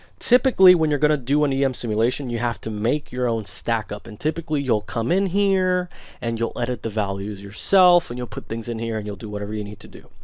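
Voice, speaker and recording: A man speaks at a fairly quick pace in a normal speaking voice with a medium pitch and lively intonation. The recording is very clean with a silent background. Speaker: engineering tutorial instructor. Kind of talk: tutorial.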